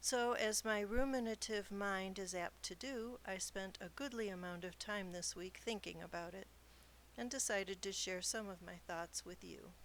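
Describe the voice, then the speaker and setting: A woman with a plain, everyday voice talks at medium pitch and a moderate pace, her pitch moving in an ordinary way. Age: 60s. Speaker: podcast host and novelist. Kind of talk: podcast monologue.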